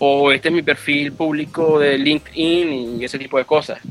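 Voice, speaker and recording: A man's fairly high voice, monotone and flat, at a fairly slow pace over noticeable background noise. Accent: Venezuelan. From Venezuela. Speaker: sysadmin. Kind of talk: casual interview.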